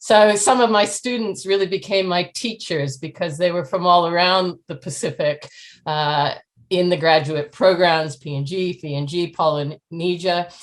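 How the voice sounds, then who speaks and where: Against a quiet background, a woman with a Canadian accent speaks in a normal speaking voice, fairly low-pitched, at a moderate pace with ordinary pitch variation. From Canada. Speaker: professor. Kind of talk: interview.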